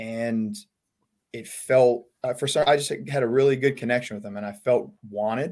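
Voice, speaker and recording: The speaker has an American accent and a moderate pace. Intonation is fairly even, with big swings in loudness. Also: man, medium pitch for a man. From Long Island, New York. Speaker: college baseball head coach. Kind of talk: casual interview chat.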